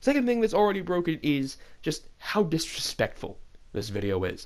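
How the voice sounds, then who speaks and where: A man's fairly high voice with very wide pitch swings, on a very clean recording with a silent background. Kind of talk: unscripted rant to camera.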